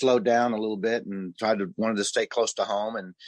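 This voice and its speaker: A man with an American accent speaks in an unremarkable speaking voice, fairly low in pitch, with fairly even intonation. The sound is dry and close with no echo over a quiet background. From US Midwest (southern Missouri, Ozarks). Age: 60s. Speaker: musician and music producer. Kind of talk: casual interview.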